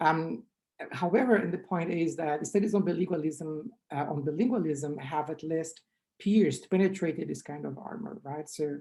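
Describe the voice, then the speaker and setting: A woman with a strong Brazilian accent speaks in a dark, mellow tone, her pitch varying in an ordinary way. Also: moderate pace. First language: Portuguese. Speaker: linguistics researcher. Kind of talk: conference talk.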